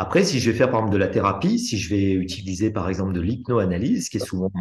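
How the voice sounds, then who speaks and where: A man talks at a very fast pace, his pitch fairly low and somewhat breathy. His pitch moves with ordinary variation. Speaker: hypnosis trainer. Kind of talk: live teaching session.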